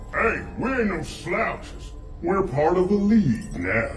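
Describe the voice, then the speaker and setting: A put-on character voice delivered at a fairly slow pace. Clear background noise and a slight echo come through. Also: man, high pitch for a man. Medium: machinima. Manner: cocky, crude.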